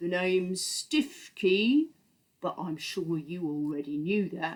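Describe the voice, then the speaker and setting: Someone uses a put-on character voice at a middle pitch, moving along at a fairly slow pace. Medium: read story. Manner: solemn, stern, old-fashioned.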